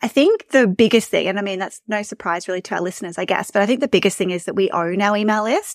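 Hardly pausing, a woman speaks at a very fast pace with an Australian accent. Her medium-pitched voice comes through in a dry, close sound with no echo. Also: ordinary pitch variation. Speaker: email marketing and visibility coach. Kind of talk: casual interview chat. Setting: remote call. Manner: fast talker.

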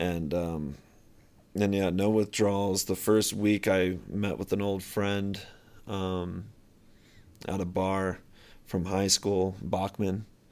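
Very deep and low, a man speaks very slowly, with long, frequent pauses and monotone, flat intonation. The recording is very clean, with a silent background. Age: 30s. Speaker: firefighter. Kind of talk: casual interview chat, storytelling. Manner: jokey, humorous.

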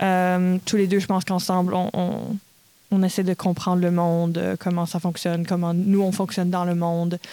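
In a Manitoba accent, a woman speaks at a moderate pace with a dark, mellow tone, fairly low pitch, flat monotone intonation and very even loudness, on a very clean recording with a silent background. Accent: Franco-Manitoban Canadian French. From Manitoba, Canada (Red River Métis). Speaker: stage actress. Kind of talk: interview.

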